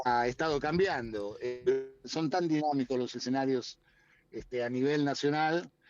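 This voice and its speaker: With music in the background, a man speaks at a fairly high pitch and a moderate pace with fairly even intonation. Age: 60s. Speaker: politician. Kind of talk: interview. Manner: hesitant, many fillers. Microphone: choppy connection.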